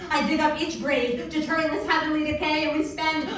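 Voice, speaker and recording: A woman's raised, projected voice at an extremely high pitch, with an American accent and noticeable background noise. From New York City. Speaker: poet and activist. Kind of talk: slam poetry performance.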